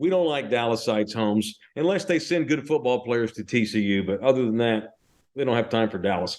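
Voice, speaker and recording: Lively intonation colors this man's speech. He talks fairly quickly. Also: medium pitch for a man. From North Texas (Fort Worth). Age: 40s. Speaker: sports radio host. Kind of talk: casual podcast chat. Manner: animated.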